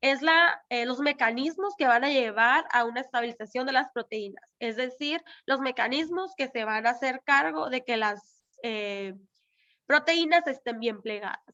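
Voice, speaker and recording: A woman with a high voice talks fairly slowly, her intonation lively. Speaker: lecturer. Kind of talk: lecture. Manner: halting, many fillers.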